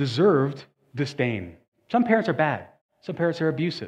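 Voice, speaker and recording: The delivery is fairly quick, with lively intonation. It is a normal speaking voice. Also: man. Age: 40s. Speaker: pastor. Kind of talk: sermon.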